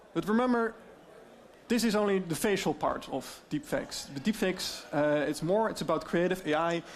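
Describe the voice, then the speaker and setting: A man speaks at a moderate pace with a slight Dutch accent. His pitch is high, and his intonation is lively. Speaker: AI deepfake expert. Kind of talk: presentation.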